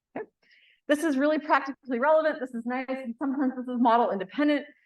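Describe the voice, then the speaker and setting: A very fast-paced woman's voice. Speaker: professor. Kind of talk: lecture.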